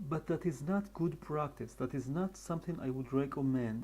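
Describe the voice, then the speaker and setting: A man's voice with a dark, mellow tone and an Israeli accent. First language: Hebrew. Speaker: animator and character designer. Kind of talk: tutorial.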